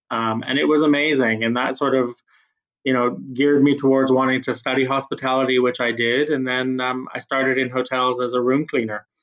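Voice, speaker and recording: Talking at a fairly quick pace, a man has a medium pitch with a Canadian accent. His intonation is monotone and flat. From Canada. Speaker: HR executive. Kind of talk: casual interview chat.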